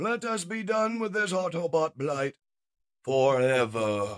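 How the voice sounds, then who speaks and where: A man puts on a character voice with a high pitch and very wide pitch swings. He keeps a fairly slow pace. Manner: menacing, gloating.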